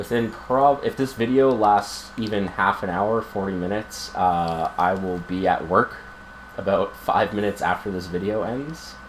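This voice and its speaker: Noticeable background noise accompanies this recording. A man speaks quietly at a fairly low pitch. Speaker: video game streamer. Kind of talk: gameplay commentary. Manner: quiet, low projection; casual, many fillers.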